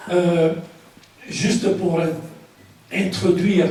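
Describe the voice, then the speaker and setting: A man with a non-native accent and a high pitch at a very slow pace, with audible room echo and noticeable background noise. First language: not French (speaking French). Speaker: author and speaker. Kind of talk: public lecture. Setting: conference hall with audience. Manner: halting.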